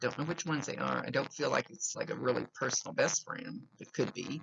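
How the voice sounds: With extremely low pitch and vocal fry, a woman talks at a fairly quick pace, her fairly bright tone carrying a slightly husky edge and fairly even intonation.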